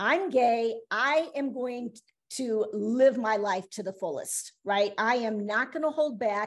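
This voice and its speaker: Very slowly, a woman talks at a fairly high pitch. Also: ordinary pitch variation. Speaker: interview guest, half of a married couple. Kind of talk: casual chat.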